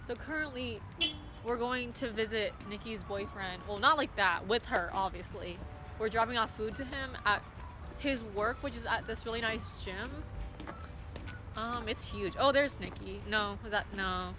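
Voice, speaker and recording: Speech at a moderate pace sounds dry with no echo, against noticeable background noise. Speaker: vlogger. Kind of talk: casual vlog chat. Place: street. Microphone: phone near.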